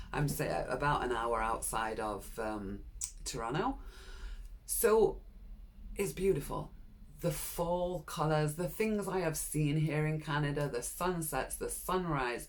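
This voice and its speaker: The speaker has a British accent and talks at a fairly slow pace. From UK. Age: 60s. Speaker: vlogger. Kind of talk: personal vlog monologue.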